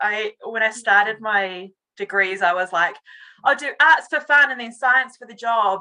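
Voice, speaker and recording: A woman speaks with a New Zealand accent in a bright, sharp tone. Her pitch is fairly high with ordinary variation, at a moderate pace. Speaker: communications director. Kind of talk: interview. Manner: hesitant, many fillers.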